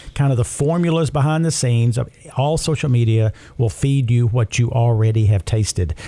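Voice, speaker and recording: This man's tone is dark and mellow, with some breathiness. He keeps a moderate pace. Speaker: radio host. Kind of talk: radio announcer patter, a warm scripted-sounding break lead-in. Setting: studio. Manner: upbeat, chatty and jovial; smooth, practiced sign-off delivery.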